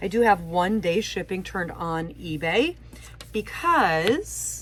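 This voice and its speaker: A woman talks very slowly, with noticeable background noise behind her voice. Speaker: part-time online reseller, teacher. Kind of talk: casual haul video talk. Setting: home basement. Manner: halting.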